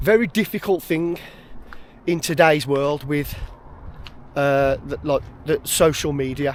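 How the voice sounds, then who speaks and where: A man with a West Midlands accent speaks fairly slowly in a fairly high voice, with long, frequent pauses. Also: ordinary pitch variation. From West Midlands, England. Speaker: outdoors vlogger. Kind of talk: casual vlog monologue. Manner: hesitant, filler words.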